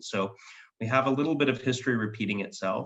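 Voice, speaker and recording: With a bright, sharp tone, a man talks in an American accent. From United States. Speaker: foreign policy expert. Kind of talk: panel discussion. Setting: web session.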